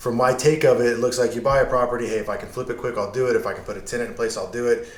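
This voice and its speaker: Over noticeable background noise, this man rattles along at a very fast pace with an American accent. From Yuma, Arizona. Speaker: podcast host. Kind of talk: interview.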